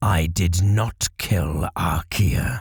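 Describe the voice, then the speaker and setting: A man growls softly in a put-on character voice with a very deep, low pitch. The sound is dry and close with no echo, and his pitch varies in an ordinary way. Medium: read story. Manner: slow, careful, murmuring.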